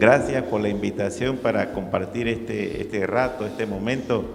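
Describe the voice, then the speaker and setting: The speech moves at a moderate pace with fairly even intonation, set against audible room echo and noticeable background noise. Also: man. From Panama City, Juan Díaz. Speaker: priest. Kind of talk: casual interview.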